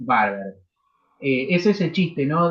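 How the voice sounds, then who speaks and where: Somewhat breathy, a man talks at a moderate pace. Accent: Uruguayan. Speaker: university law lecturer. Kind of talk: lecture. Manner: animated.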